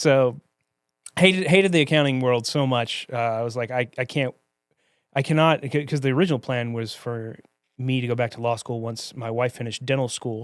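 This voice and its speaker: This voice has an American accent and ordinary pitch variation. The pace is fairly quick. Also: man, medium pitch for a man. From US South, Mobile, Alabama. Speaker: attorney. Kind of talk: podcast interview.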